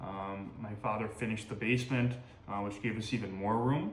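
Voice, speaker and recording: With a fairly low pitch and fairly even intonation, a man speaks at a moderate pace. Room echo is audible, and background noise is noticeable. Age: 20s. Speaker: firefighter. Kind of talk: interview answers. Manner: hesitant, many fillers.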